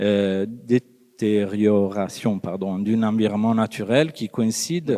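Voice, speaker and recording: With an Italian accent, a man speaks at a fairly low pitch in a dark, mellow tone. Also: ordinary pitch variation. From Italy. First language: Italian (speaking French). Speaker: psychologist and lecturer. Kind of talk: conference talk read from text. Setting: conference with audience. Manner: hesitant, many fillers.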